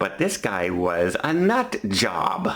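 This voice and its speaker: A man speaks with a Canadian accent. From Canada. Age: 50s. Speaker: vlogger. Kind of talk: storytelling vlog. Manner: halting, self-correcting.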